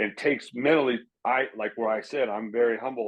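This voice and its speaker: A man has a normal speaking voice at a medium pitch. He talks at a moderate pace with ordinary pitch variation. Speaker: former pro baseball player. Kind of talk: casual chat. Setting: podcast recording.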